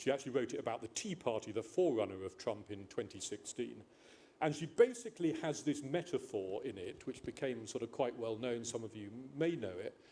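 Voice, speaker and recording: A man's somewhat breathy voice with a dark, mellow tone, medium pitch, lively intonation and a fairly quick pace, in an English accent. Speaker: panel speaker. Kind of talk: panel discussion. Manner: halting.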